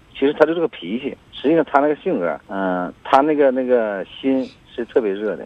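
Fairly quick, lively intonation from a man. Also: medium pitch for a man. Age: 40s. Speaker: caller, factory owner. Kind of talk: phone-in advice call. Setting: phone call. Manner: halting.

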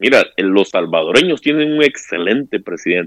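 With lively intonation and a fairly quick pace, a man speaks in a dry, close sound with no echo. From Honduras. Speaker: caller. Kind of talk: casual chat.

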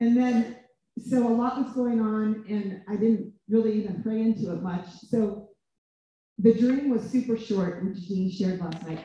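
With a normal speaking voice, a woman talks at a moderate pace, fairly high in pitch and with fairly even intonation. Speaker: minister. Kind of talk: prayer. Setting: stage with audience.

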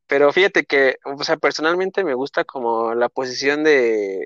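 A man speaks with a Mexico City accent at medium pitch. His pace is fairly slow, with ordinary pitch variation. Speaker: football podcast co-host. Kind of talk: casual interview chat.

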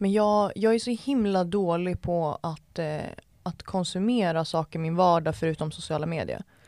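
A woman's normal speaking voice, fairly low in pitch with ordinary pitch variation, on a very clean recording against a silent background. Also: moderate pace. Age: 20s. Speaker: entrepreneur and TikTok creator. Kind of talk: casual chat.

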